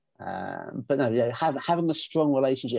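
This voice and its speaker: A man with a British accent talks at a fairly quick pace against a quiet background. His tone is dark and mellow, at a medium pitch with ordinary pitch variation. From England. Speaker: menswear consultant and trouser brand co-founder. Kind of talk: casual chat. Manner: repeats words, stammers.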